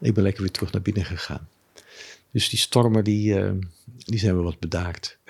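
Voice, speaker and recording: A man speaks at a fairly low pitch in a somewhat breathy voice. He leaves long, frequent pauses. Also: ordinary pitch variation, moderate pace. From Amsterdam, Netherlands. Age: 70s. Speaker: former businessman, Buddhist. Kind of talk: interview. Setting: his living room.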